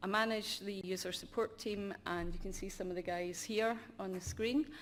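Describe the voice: A woman at medium pitch, moderate pace and little pitch movement.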